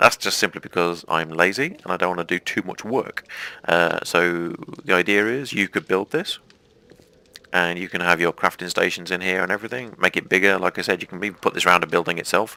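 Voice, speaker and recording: Recorded dry and close with no echo, a man with an English accent talks in a very deep, low pitch and fairly even intonation. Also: fairly quick pace. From England, mining family. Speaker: gaming YouTuber. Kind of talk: let's play commentary.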